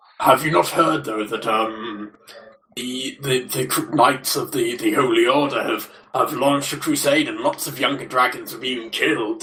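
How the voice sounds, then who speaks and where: Putting on a character voice, a man speaks at a moderate pace. His pitch sits in the medium range. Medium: audio drama. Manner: chatty, cheeky.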